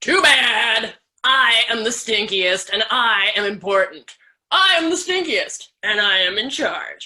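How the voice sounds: Natural reading voice, quiet surroundings behind it.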